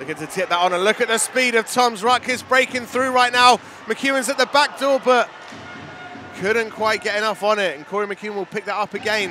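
A man with a high pitch uses a raised, projected voice and ordinary pitch variation over music in the background. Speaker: ice hockey commentator. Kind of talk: live-style play-by-play ice hockey commentary over match highlights. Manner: animated with frequent verbal stumbles and repeated words.

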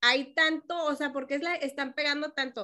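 A woman projects her raised voice in a high register, her tone bright and sharp, with ordinary rises and falls in pitch. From Mexico, Jalisco. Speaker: radio host. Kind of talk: casual chat. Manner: animated.

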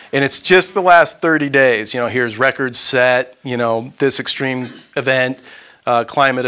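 Against a quiet background, a man with an American accent talks at a fairly slow pace in a bright, sharp tone. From Texas (Houston). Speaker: author and journalist. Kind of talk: lecture. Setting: room with audience. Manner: halting. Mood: earnest, somber. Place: home room. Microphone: lapel.

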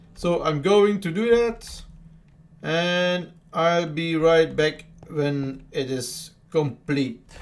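Speaking very slowly with a non-native accent, a man uses a high pitch and ordinary pitch variation. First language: Dutch. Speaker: gamer. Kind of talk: casual gameplay commentary.

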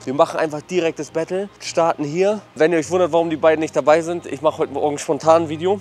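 A man keeps a fairly quick pace with fairly even intonation. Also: dry sound with no echo. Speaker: food vlogger. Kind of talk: casual vlog chat. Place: street. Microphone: lapel.

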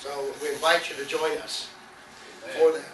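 Over noticeable background noise, a man speaks in a high pitch with fairly even intonation. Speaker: pastor. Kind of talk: sermon. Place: church.

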